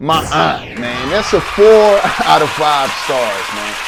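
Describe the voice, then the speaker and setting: Music plays in the background as a man speaks at a very slow pace with very wide pitch swings. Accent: American. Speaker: hip-hop album reviewer. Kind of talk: casual spoken review. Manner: unscripted, off the top of head with many fillers.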